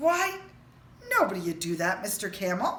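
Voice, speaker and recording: Using a put-on character voice, a woman speaks at medium pitch over clear background noise. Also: moderate pace. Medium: read story. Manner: calm, reassuring.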